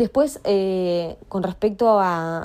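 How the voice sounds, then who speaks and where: A woman is speaking. Her tone is dark and mellow. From Argentina, Paraná (Entre Ríos). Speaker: fan giving testimony. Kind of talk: recorded testimony.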